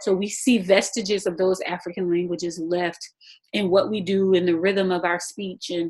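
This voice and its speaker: A woman speaks with a Geechee accent. Her pitch is medium and her pace moderate. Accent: Geechee intonation and tone. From South Carolina Lowcountry (Huger), Gullah Geechee. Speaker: author and speech-language pathologist. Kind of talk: podcast interview. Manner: energetic.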